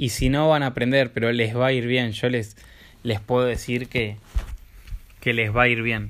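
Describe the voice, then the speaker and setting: A man with a Rioplatense accent speaks in a flat monotone at a very even loudness. His speech has long, frequent pauses. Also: medium pitch for a man, moderate pace. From Buenos Aires, Argentina. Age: 20s. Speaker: life coach. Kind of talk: vlog monologue. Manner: halting.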